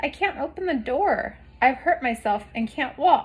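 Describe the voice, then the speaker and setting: Putting on a character voice, a woman speaks at a moderate pace in a high, shaky voice with very wide pitch swings. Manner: frightened, weak.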